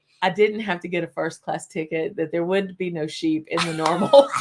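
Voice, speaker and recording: Ordinary pitch variation at a moderate pace, in a Southern accent. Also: woman. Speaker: whisky channel host. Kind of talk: casual live-stream chat. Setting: live stream. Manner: animated.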